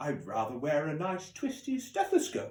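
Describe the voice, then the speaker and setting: Using a put-on character voice, a man with a high pitch speaks at a moderate pace. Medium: read story. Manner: grand, gallant.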